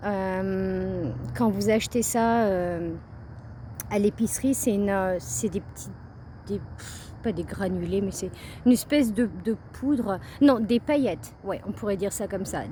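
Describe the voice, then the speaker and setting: With a Parisian accent, a woman speaks at a very slow pace and a medium pitch, her dark, mellow, somewhat breathy tone showing ordinary pitch variation between long, frequent pauses. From Paris, France. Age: 30s. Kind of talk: casual vlog narration on a nature walk. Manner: hesitant, chatty.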